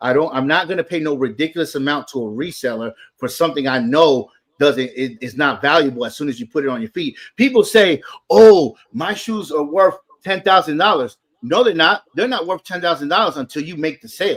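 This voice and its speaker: This man talks at a fairly quick pace in an American accent, his pitch fairly high. His intonation is lively and his tone animated. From US South, Atlanta, Georgia. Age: 40s. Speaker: sneaker enthusiast. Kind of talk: casual chat.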